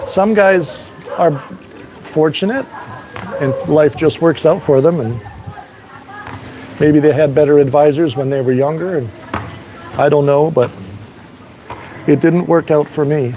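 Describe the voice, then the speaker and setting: With music in the background, a man speaks at a fairly high pitch and fairly slow pace, with ordinary pitch variation and long, frequent pauses. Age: 60s. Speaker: expat vlogger. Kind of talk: casual livestream chat. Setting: outdoors on a balcony. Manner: halting, repeats words.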